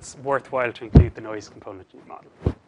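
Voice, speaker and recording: A man with a Cork accent, medium pitch and a fairly quick pace. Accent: Cork Irish. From Ireland, Cork. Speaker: statistics researcher. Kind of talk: lecture.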